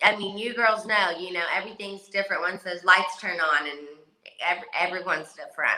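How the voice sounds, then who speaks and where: Speaking at a fairly quick pace, a woman with a Southern accent sounds animated. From West Virginia. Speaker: reality TV competitor. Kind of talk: casual chat.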